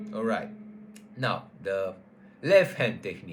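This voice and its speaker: Amid audible room echo, a man with a non-native accent speaks at a moderate pace. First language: not English. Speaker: guitar teacher. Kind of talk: tutorial. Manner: halting, with self-corrections.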